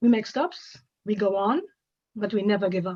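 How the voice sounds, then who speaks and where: A woman with a German accent at a moderate pace. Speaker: award presenter. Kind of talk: award presentation speech.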